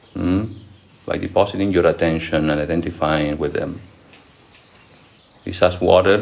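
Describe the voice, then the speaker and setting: A man with a non-native accent speaks at a moderate pace in a very deep, low pitch with ordinary pitch variation. Long, frequent pauses break up his speech, and the room echo is audible. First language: not English. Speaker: monk and spiritual teacher. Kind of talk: lecture with audience Q&A. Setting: monastery lecture hall with audience.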